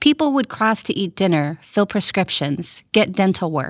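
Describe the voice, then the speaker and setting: A woman with an American accent speaks at a moderate pace and medium pitch, in an unremarkable speaking voice. The sound is dry and close, with no echo. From US South (Rio Grande Valley, South Texas). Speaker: podcast host and immigration attorney. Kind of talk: scripted narration.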